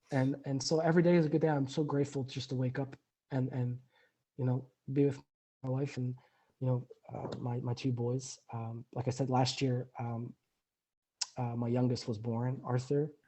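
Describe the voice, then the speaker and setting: A man speaks in a somewhat breathy voice with monotone, flat intonation. Long, frequent pauses break up his speech. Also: medium pitch for a man, moderate pace. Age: 30s. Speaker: recovering alcoholic guest. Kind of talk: interview testimony. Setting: remote call. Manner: halting, many repetitions.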